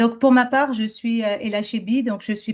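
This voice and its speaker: A woman's fairly high, somewhat breathy voice at a moderate pace, with ordinary pitch variation. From France. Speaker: business school professor. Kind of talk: academic presentation. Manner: halting, many fillers.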